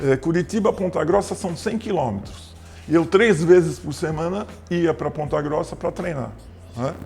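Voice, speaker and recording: A man talks with a high pitch and ordinary pitch variation. His pace is moderate. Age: 70s. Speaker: former basketball player and PE teacher. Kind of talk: interview.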